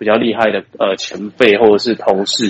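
A man's medium-pitched voice at a moderate pace, dry and close with no echo. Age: 20s. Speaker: video production company owner. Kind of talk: interview. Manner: halting.

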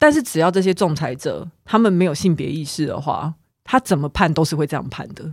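A woman speaks in a normal speaking voice at a fairly low pitch and a fairly quick pace, with ordinary pitch variation. The recording is very clean with a silent background, and the sound is dry and close with no echo. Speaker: podcast co-host. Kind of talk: casual chat.

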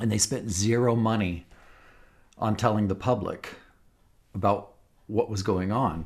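A man speaks at a fairly low pitch and fairly slow pace. His intonation is fairly even. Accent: American. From US, Los Angeles. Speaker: wildlife filmmaker. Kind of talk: interview. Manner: halting.

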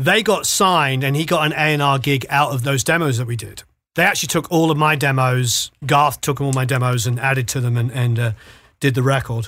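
In a very clean recording with a silent background, a man with a British accent talks at a fairly quick pace in a bright, sharp tone, at medium pitch with ordinary pitch variation. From Britain. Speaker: music producer and mix engineer. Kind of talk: casual interview.

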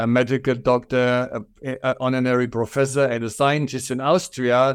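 A man with a strong German accent at a medium pitch, monotone, flat intonation and a moderate pace, on a very clean recording with a silent background. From Germany. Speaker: furniture company owner. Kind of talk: interview.

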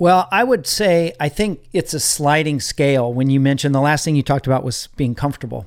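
A man with an American accent and a fairly high pitch uses an ordinary speaking voice with ordinary pitch variation, in a very clean recording with a silent background. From Northern California. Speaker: ministry leadership coach, Air Force member. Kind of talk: interview.

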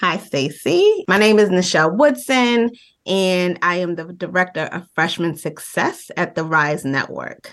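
A normal speaking voice moves at a fairly slow pace. The intonation is lively. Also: woman, medium pitch for a woman. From Trinidad, raised in US. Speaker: education network director. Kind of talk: casual interview conversation.

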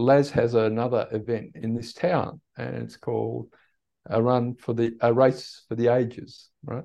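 The speaker is a man. He talks with an Australian accent. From Tasmania, Australia (born in the Netherlands). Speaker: running and meditation coach. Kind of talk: casual interview chat. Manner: hesitant, many fillers.

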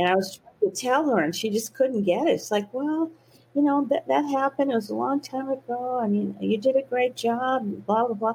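A woman's high voice with an American accent and lively intonation. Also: moderate pace. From US South. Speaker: physician and eating disorder expert. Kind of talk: interview.

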